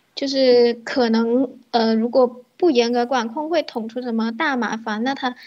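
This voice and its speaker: Pitched high, a woman's voice moves at a moderate pace. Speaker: livestream call-in guest. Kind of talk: casual chat. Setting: online voice call.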